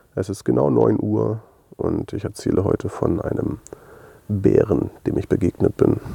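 This man's voice sits very deep and low, with vocal fry and very wide pitch swings, at a fairly slow pace. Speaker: audio diary podcaster. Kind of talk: personal audio diary monologue. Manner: hesitant with many fillers.

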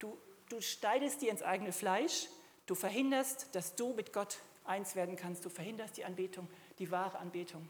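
Speaking at medium pitch and a moderate pace, a woman has an ordinary speaking voice with ordinary pitch variation. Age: 60s. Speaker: preacher. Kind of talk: sermon.

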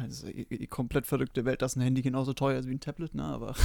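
A man's medium-pitched voice at a very fast pace. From Bavaria, Germany. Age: 20s. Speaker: podcast co-host, frontend developer. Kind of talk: casual chat.

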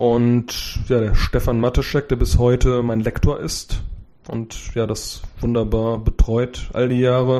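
A man at medium pitch, in a dark, mellow tone, with fairly even intonation and a very slow pace. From Germany, Cologne. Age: 40s. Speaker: software developer and IT book author. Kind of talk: interview.

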